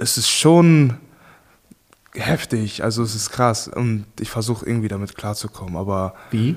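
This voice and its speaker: With an unremarkable speaking voice, a man talks at medium pitch and a moderate speed. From Germany. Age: 20s. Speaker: professional boxer. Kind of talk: casual chat.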